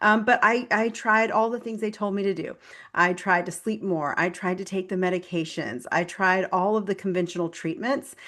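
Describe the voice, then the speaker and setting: Energetic and bright with a sharp tone, a woman speaks at a medium pitch with ordinary pitch variation against a quiet background. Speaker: functional nutritionist and health coach. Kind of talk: interview conversation. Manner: fast.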